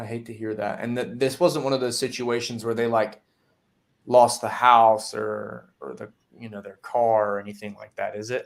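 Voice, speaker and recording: This man's voice sits at a medium pitch with fairly even intonation. He speaks at a moderate pace. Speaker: insurance sales trainer. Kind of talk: sales call role-play; tutorial. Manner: plain, simple speech in character.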